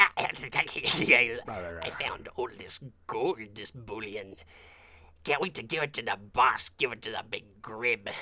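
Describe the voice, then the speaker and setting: Using a shrill, put-on character voice, a man speaks at a medium pitch and a fairly slow pace. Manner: gleeful, cackling.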